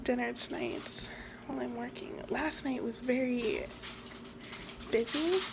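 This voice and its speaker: Noticeable background noise surrounds a soft-spoken woman. She talks at a very slow pace. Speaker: ASMR creator; restaurant server. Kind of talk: ASMR cooking talk to camera.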